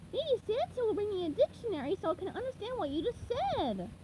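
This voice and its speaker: A woman does a squeaky, put-on character voice at a fairly quick pace over clear background noise. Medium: read story. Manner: excitable, bright.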